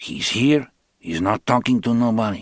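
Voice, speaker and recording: A man's put-on character voice at medium pitch, dry and close with no echo. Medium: read story. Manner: slow, sparse, unhurried.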